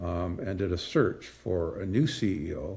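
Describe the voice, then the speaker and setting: On a very clean recording with a silent background, a man speaks in a fairly low voice. His tone is dark and mellow and somewhat breathy. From British Columbia, Canada. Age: 70s. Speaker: mining company president. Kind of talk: interview.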